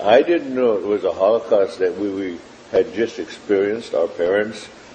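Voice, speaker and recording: Over noticeable background noise, someone talks at a fairly slow pace. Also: man. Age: 70s. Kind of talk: interview testimony. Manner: halting, with frequent fillers.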